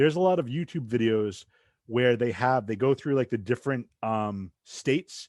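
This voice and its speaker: A man speaks with an American accent and ordinary pitch variation. The sound is dry and close with no echo, over a quiet background. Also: medium pitch for a man. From southeastern Massachusetts. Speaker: podcast host. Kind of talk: casual interview chat.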